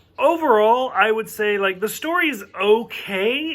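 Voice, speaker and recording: A man with an American accent at a very slow pace, his intonation lively. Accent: thick southern US accent, mostly covered up. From US South. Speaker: TV show reviewer. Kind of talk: casual video review. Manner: casual, filler-heavy.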